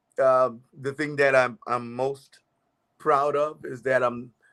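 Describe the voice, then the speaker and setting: In a very clean recording with a silent background, a man speaks in a flat monotone. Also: long, frequent pauses. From US South, Charleston, South Carolina (Geechee). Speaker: gospel musician and choir director. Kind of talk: interview. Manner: halting, many fillers.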